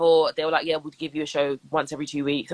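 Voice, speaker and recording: Recorded with a dry, close sound and no echo, a woman speaks with a London accent. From Southwest London. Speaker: radio presenter and DJ. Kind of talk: interview. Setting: Instagram live video call. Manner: animated.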